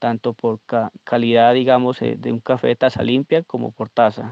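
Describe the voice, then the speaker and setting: A man speaks fairly quickly with a Colombian accent. His medium-pitched delivery has monotone, flat intonation. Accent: Colombian Spanish (Huila). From Colombia, Pitalito, Huila. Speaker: coffee farmer. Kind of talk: voice memo testimony. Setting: recorded voice memo. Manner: halting.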